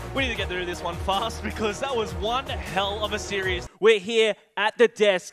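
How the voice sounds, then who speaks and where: A man speaking at a moderate pace with hardly any pauses, clear music in the background. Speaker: esports host and commentator. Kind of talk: esports broadcast commentary. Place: studio. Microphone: headset.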